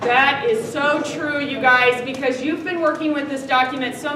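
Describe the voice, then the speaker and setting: Amid noticeable background noise and audible room echo, a woman uses a raised, projected voice at a high pitch with ordinary pitch variation. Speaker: teacher. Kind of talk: classroom lecture.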